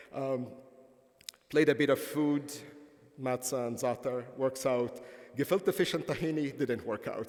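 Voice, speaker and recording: Speaking at a moderate pace, a man with a fairly high pitch has an Arabic accent. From Palestine. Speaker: professor. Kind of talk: lecture. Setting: conference stage with audience.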